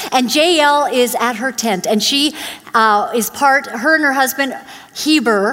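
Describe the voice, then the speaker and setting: With a Canadian accent, a woman speaks in a high pitch at a fairly slow pace with ordinary pitch variation over noticeable background noise. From born in Uganda, grew up in Canada (Vancouver area). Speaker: guest preacher. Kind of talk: sermon. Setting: church.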